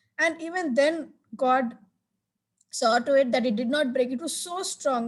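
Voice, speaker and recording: The speaker is a woman with a high-pitched voice. Her pitch varies in an ordinary way. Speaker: church member giving testimony. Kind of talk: testimony.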